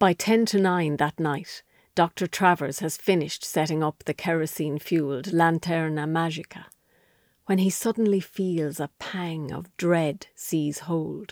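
A woman with an Irish accent talks at a fairly slow pace in a fairly low voice, the sound dry and close with no echo on a very clean recording with a silent background. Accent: Irish, Wexford. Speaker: author reading her own story. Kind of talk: literary audiobook reading, scripted narration of a historical short story. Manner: measured, storytelling cadence; hushed, atmospheric, lingering on vivid period detail.

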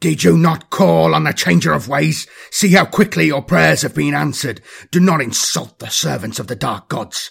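Putting on a character voice, a man speaks at a moderate pace and a fairly high pitch, with a slightly husky edge, vocal fry and ordinary pitch variation.

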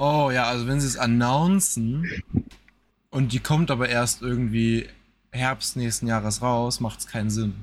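This man has a plain, everyday voice. He talks at a fairly slow pace with ordinary pitch variation. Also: medium pitch for a man. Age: 20s. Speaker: gaming podcast co-host. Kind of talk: casual chat.

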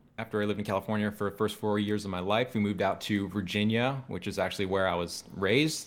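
A man with an unremarkable speaking voice and a fairly low pitch talks in fairly even intonation, captured in a very clean recording with a silent background. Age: 20s. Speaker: percussion educator and drum corps alum. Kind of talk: casual interview chat.

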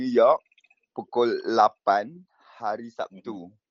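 A man talks at a very slow pace. His pitch is medium and his intonation fairly even. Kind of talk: casual chat. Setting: video call.

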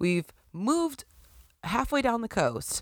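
An animated woman with a Western New York accent. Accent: Western New York (Inland North) American. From Buffalo, New York. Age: 30s. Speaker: podcast host. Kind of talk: casual solo monologue. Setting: recording at home at night.

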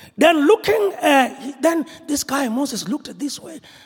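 A man with a Zulu accent, an extremely high pitch and lively intonation. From South Africa, rural KwaZulu-Natal. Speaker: apostle preaching at a church conference. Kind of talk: sermon. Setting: church with congregation. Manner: animated.

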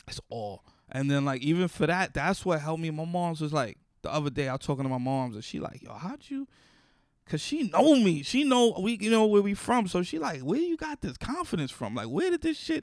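Very wide pitch swings mark this fairly quick delivery with a New York accent. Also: man, high pitch for a man. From Bronx, New York. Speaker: comedian. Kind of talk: casual chat. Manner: animated.

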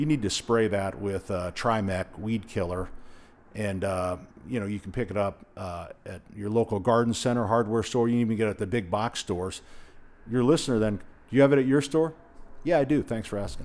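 Speaking with an American accent and an unremarkable speaking voice, a man talks fairly quickly at a fairly low pitch with ordinary pitch variation. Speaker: hardware store owner. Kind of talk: interview. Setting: in his store.

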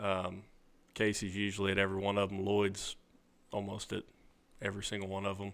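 A man with a Southern US accent talks fairly quickly at a fairly low pitch in a monotone, flat intonation, broken by long, frequent pauses. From Arkansas, near Memphis. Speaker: cutting horse trainer. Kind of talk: interview.

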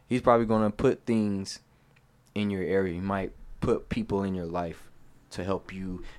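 Fairly even in intonation, a man speaks at a moderate pace with long, frequent pauses. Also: fairly low pitch for a man. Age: 20s. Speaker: barber. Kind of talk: casual chat.

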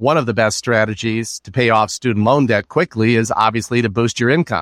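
A man with an unremarkable speaking voice and medium pitch is heard on a very clean recording with a silent background and a dry, close sound with no echo. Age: 50s. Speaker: student loan financial advisor. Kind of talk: interview.

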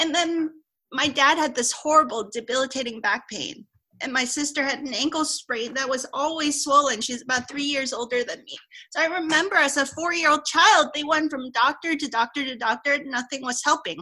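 In a raised, projected voice with a bright, sharp tone, a woman speaks at a high pitch and a fairly quick pace, with ordinary pitch variation. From Hong Kong. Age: 40s. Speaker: Chinese medicine doctor. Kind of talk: casual interview.

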